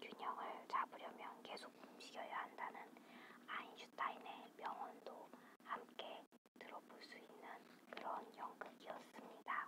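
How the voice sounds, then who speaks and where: A woman is whispering. Her pace is very slow. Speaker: ASMR creator. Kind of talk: whispered ASMR theatre review. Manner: whispered.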